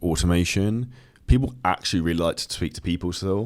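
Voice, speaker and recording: This man has a very deep, low pitch and a British accent. He talks at a very fast pace. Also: very clean recording, silent background. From southern England. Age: 30s. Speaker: entrepreneur and fitness coach. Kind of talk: podcast interview.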